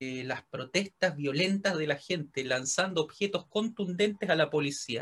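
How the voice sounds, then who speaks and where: In a Chilean accent, a man talks at a fairly slow pace with hardly any pauses and ordinary pitch variation. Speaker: podcast co-host. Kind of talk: casual comedic chat.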